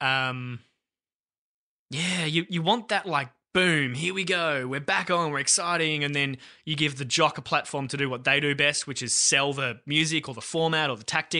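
A man with an Australian accent speaks in a fairly high pitch with a bright, sharp tone against a quiet background. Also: ordinary pitch variation, moderate pace. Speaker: radio producer and podcast host. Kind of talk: casual chat.

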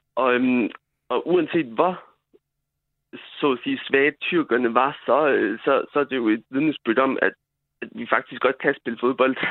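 A man with a medium-pitched voice speaks with long, frequent pauses. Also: fairly even intonation, fairly slow pace. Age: 20s. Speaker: football player. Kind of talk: radio interview. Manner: halting, many fillers.

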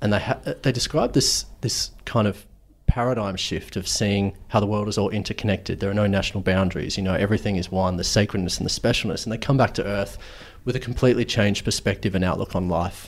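With an Australian accent, a man talks very fast in a fairly low voice with vocal fry and fairly even intonation. The recording is very clean, with a silent background. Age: 30s. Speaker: podcast host. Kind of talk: interview; scripted narration. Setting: guest's office.

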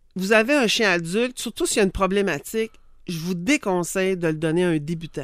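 At a moderate pace, a woman speaks in a Quebec accent on a very clean recording with a silent background. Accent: Québécois French. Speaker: dog behaviour and training expert. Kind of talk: casual expert chat.

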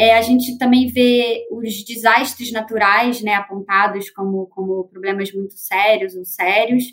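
A woman's fairly high, monotone, flat voice in a Rio de Janeiro accent, at a fairly slow pace with hardly any pauses. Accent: Carioca Brazilian Portuguese. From Rio de Janeiro, Brazil. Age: 30s. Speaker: market researcher. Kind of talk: panel discussion.

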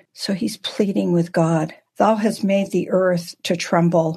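Somewhat breathy, a woman speaks at a very slow pace with medium pitch and fairly even intonation. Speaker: Bible teacher. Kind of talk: Bible study teaching. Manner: halting.

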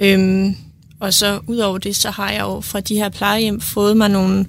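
A woman is speaking. Her pace is very slow. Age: 20s. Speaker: nursing student. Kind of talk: casual chat.

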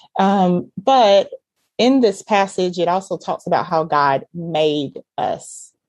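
A woman speaks with a Southern US accent. Her pitch sits fairly low, and her pace is very slow. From US South, Georgia. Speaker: ministry leader and mom. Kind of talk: casual chat, faith conversation.

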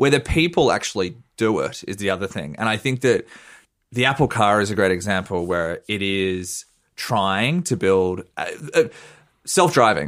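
In a very clean recording with a silent background, a man with an Australian accent speaks at a moderate pace with a fairly low pitch and lively intonation. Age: 30s. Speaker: journalist. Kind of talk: casual chat.

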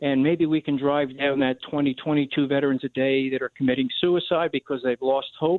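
With an American accent, a man talks at a moderate pace in a fairly high pitch, his intonation monotone and flat, with hardly any pauses. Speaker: charity director for veteran service dogs. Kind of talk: radio interview.

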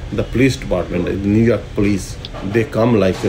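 Audible room echo and noticeable background noise surround the voice. A man speaks at a moderate pace. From Pakistan, Punjab (Gujranwala). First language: Punjabi or Urdu. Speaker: restaurant owner. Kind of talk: interview. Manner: halting.

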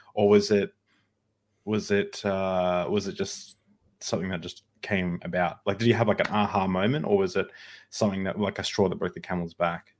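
A man's fairly low voice with an Australian accent, at a moderate pace and with fairly even intonation. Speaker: podcast host. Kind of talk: casual chat. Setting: video call.

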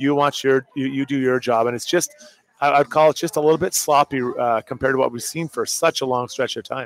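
A normal speaking voice from a man, fairly high in pitch and fairly even in intonation, at a fairly quick pace with a dry, close sound with no echo. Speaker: hockey analyst, former player. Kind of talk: live postgame sports talk. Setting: live at a bar with crowd.

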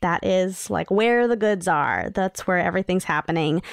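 In a very clean recording with a silent background and a dry, close sound with no echo, a woman with an American accent speaks at medium pitch and a moderate pace in a plain, everyday voice. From New York City. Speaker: children's media creator and podcaster. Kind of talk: casual chat.

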